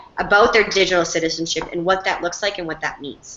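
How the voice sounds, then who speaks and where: Noticeable background noise surrounds a woman talking at a medium pitch and a fairly quick pace. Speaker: teacher. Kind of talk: Q&A with class. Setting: video call. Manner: fast; animated.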